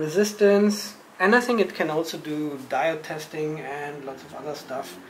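A man speaks at a fairly slow pace. Audible room echo and light background noise are present. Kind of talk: casual unboxing vlog chat. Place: home room.

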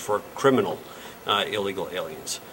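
A man's voice, moving at a moderate pace with ordinary pitch variation, comes through light background noise. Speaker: local politician. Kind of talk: interview answer. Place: meeting room.

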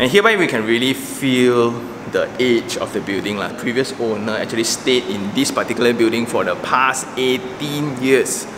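Moderate-paced male speech with ordinary pitch variation over noticeable background noise. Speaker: property reviewer. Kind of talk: walkthrough commentary. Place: home room. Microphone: phone near.

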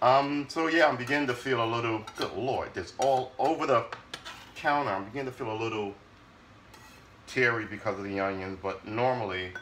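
Over light background noise, a man talks at a moderate pace with ordinary pitch variation. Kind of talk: casual cooking vlog chat. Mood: wry, a bit weary. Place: kitchen. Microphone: phone near.

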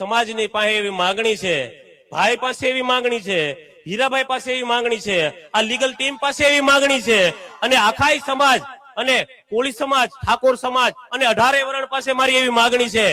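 Amid noticeable background noise, a man with an extremely high pitch uses a raised, projected voice with ordinary pitch variation. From Gujarat, Saurashtra (Bhavnagar district village). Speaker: villager making a complaint. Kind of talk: public statement to press and gathering.

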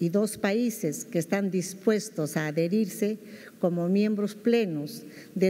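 The intonation is lively throughout. A woman delivers the words at a fairly slow pace. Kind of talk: formal ceremonial speech. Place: hall. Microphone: podium.

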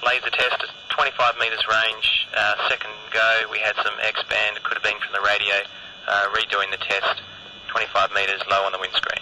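A man speaks at a moderate pace. Noticeable background noise runs behind him. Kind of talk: commentary. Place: open country.

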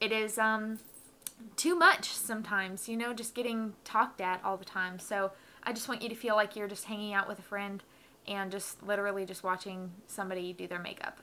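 In a medium pitch, a woman talks with a bright, sharp tone and fairly even intonation. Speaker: makeup beauty vlogger. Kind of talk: casual talk to camera. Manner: low energy, relaxed.

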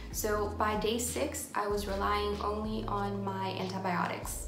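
With noticeable background noise behind it, the voice moves at a fairly slow pace with hardly any pauses. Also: woman. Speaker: vlogger. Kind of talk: casual talk to camera. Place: home room. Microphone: phone near.

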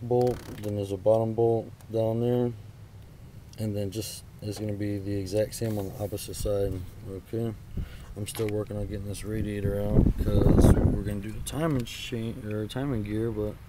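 In a dry recording with no echo but noticeable background noise, a man speaks in a fairly low pitch with monotone, flat intonation. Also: moderate pace. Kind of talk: tutorial. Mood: frustrated, casual. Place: open country. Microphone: phone near.

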